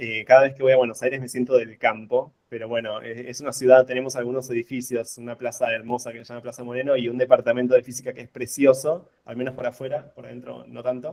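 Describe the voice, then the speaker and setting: A man with an Argentine accent and medium pitch, monotone, flat intonation, big swings in loudness, a very fast pace and hardly any pauses. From Argentina, La Plata. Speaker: physicist and researcher. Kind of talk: lecture. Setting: video call. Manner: hesitant, many fillers. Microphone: too quiet at start.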